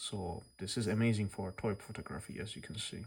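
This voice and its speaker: The speaker talks at a moderate pace in a non-native accent. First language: not English. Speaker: toy reviewer and customizer. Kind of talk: tutorial. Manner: casual, slightly halting.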